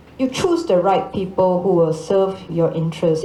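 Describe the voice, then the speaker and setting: A woman of medium pitch speaks at a fairly slow pace with ordinary pitch variation. Audible room echo and noticeable background noise surround her. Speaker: ambassador. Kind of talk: panel Q&A answer.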